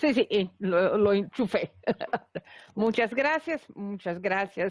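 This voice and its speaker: A woman with a non-native accent speaks with ordinary pitch variation, the sound dry and close with no echo and the background quiet. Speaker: law academic, panelist. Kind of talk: conference talk. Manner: halting, many repetitions.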